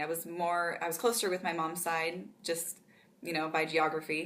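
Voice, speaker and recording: A woman with a fairly low voice speaks at a moderate pace, and some room echo can be heard. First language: Pennsylvania Dutch. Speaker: author. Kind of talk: interview. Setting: conference.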